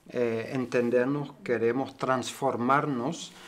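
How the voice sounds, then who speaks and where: This man talks very slowly at a medium pitch. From Germany. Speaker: cooperative member; interviewee. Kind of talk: interview. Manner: halting. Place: meeting room.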